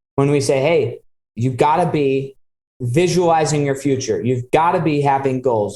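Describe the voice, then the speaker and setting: This man speaks at a moderate pace with an American accent. His tone is dark and mellow, with ordinary pitch variation. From Utah, US. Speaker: podcast host. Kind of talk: interview conversation.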